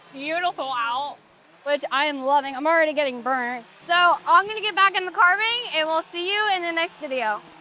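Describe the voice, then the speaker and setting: Projecting her voice, a woman speaks at an extremely high pitch and a fairly quick pace, her tone bright and sharp and her intonation lively. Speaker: chainsaw carver and vlogger. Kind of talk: casual vlog talk to camera. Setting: outdoors at carving event.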